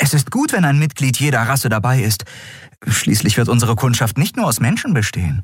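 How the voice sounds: Intonation here is lively. The delivery is a natural reading voice.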